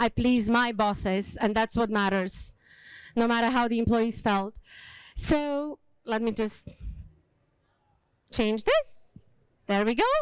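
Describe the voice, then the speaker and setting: On a very clean recording with a silent background, the speech moves at a fairly slow pace with long, frequent pauses, very even loudness and fairly even intonation. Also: woman, fairly high pitch for a woman. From Slovakia, small village. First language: Slovak. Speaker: hospitality leader and speaker. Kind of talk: motivational talk. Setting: stage with small audience.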